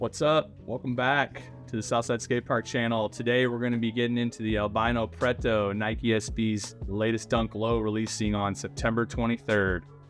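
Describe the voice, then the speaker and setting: A man talks at a moderate pace with hardly any pauses and fairly even intonation, with faint music in the background. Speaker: skate shop host. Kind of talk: product review vlog. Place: shop.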